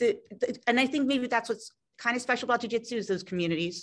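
In a Philadelphia accent, a woman talks at a moderate pace with lively intonation over a quiet background. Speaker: fitness entrepreneur. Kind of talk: interview.

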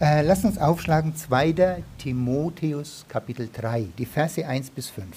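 Somewhat breathy and dark, mellow in tone, a man with a fairly high pitch talks at a fairly slow pace with ordinary pitch variation and hardly any pauses. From Germany, Franconia. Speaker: visiting preacher. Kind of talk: sermon. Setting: church.

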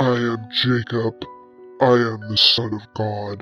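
A man's put-on character voice at medium pitch, flat and monotone, fairly slow, with faint music in the background. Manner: yelling.

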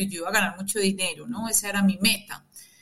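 Noticeable background noise sits behind a woman speaking at medium pitch. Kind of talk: reflective interview conversation. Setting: remote connection from her own booth.

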